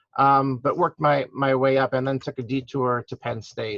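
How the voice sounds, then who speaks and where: A man's medium-pitched voice with an American accent, a normal speaking voice at a moderate pace, dry and close with no echo. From US Midwest (St. Louis, Missouri). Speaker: hospital food service director. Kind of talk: guest lecture.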